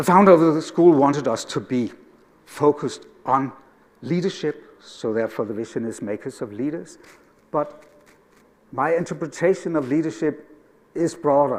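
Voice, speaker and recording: A fairly high-pitched man in a Danish accent, at a moderate pace with ordinary pitch variation and long, frequent pauses. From Denmark. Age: 60s. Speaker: educator. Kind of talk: conference talk.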